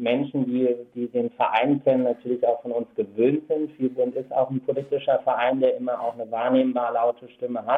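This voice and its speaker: At a moderate pace, a man talks at a medium pitch. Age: 30s. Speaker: activist. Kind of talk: radio interview.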